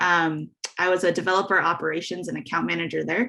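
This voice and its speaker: Against a quiet background, a woman speaks with an American accent. Her pitch is fairly low and her pace fairly quick. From Southern California. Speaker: tech customer success manager. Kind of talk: presentation. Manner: fast.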